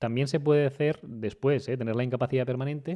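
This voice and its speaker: With a dark, mellow tone and medium pitch, a man talks at a very fast pace and with fairly even intonation against a quiet background. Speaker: lawyer and podcast host. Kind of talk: podcast Q&A explanation. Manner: conversational with frequent fillers.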